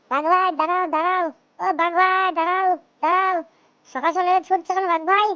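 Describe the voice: A squeaky, cartoonish character voice at an extremely high pitch moves along at a moderate pace.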